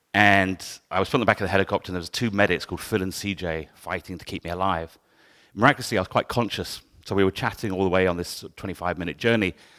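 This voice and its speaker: A man with a southern English accent speaks at a very fast pace, his very deep, low voice bright and sharp in tone, with fairly even intonation but big swings in loudness. The recording is very clean, with a silent background. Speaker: photographer. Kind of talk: talk to an audience.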